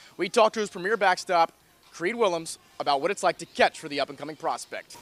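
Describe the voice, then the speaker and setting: Through noticeable background noise, a man with a high pitch speaks at a very fast pace. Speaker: sports reporter. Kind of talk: news reading.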